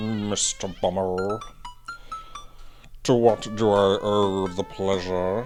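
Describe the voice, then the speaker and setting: Over clear music in the background, a man uses a put-on character voice at a fairly low pitch, hissing and monotone, at a very slow pace with long, frequent pauses. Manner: sly, greeting.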